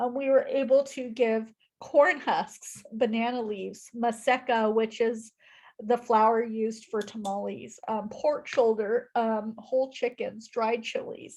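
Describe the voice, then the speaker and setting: Her pitch is fairly high and her intonation fairly even as the woman talks at a fairly slow pace. The background is quiet. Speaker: nonprofit speaker. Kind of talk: presentation on video call. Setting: video call.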